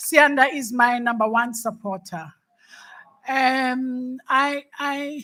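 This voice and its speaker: Her voice is raised and projected, high in pitch, with a bright, sharp tone. The woman speaks at a very slow pace. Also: ordinary pitch variation. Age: 60s. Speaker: panel speaker, former executive. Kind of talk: panel discussion. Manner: halting, many repetitions.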